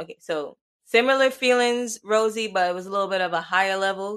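A woman with a normal speaking voice talks at a moderate pace and medium pitch, with ordinary pitch variation over a quiet background. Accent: American. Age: 20s. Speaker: podcast co-host. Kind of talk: casual chat.

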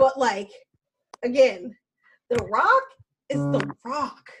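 Her pitch high and swinging very widely, a woman speaks with an American accent. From US South, Alabama. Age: 20s. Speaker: Marine Corps veteran. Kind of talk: casual chat.

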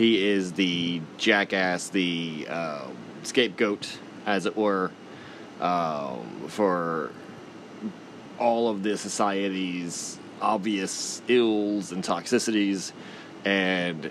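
A man with an American accent speaks at a very slow pace in a very deep, low voice. His intonation is fairly even, with noticeable background noise behind him. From Texas. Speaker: podcast host. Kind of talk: commentary monologue.

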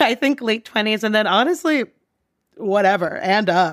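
A woman's fairly high-pitched, animated voice at a moderate pace, with lively intonation, on a very clean recording with a silent background. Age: 30s. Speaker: advertising worker. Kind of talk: casual chat.

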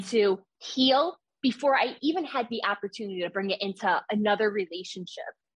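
This American-accented voice moves at a moderate pace, with ordinary pitch variation and a somewhat breathy quality. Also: woman. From New York. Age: 20s. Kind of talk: testimony.

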